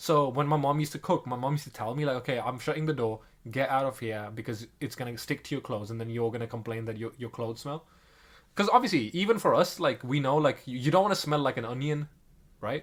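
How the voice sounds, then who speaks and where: A man at a very fast pace, medium in pitch with ordinary pitch variation, in a very clean recording with a silent background. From South Asia. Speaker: podcast co-host. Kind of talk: casual chat.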